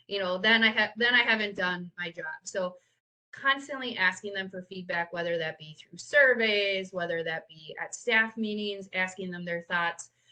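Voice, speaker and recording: In a normal speaking voice, a woman speaks at a moderate pace and medium pitch, with ordinary pitch variation and big swings in loudness. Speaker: nonprofit youth program leader. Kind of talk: webinar presentation.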